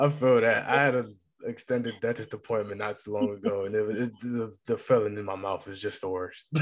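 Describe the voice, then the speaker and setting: A plain, everyday voice at a fairly quick pace, with fairly even intonation over a quiet background. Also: man, medium pitch for a man. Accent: American. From Massachusetts. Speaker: podcast host. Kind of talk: interview. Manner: casual.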